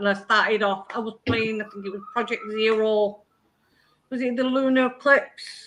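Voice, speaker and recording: In an English accent, a woman speaks fairly slowly at a fairly high pitch with ordinary pitch variation. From Oldham, northern England. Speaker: youtuber guest. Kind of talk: casual chat. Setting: live stream.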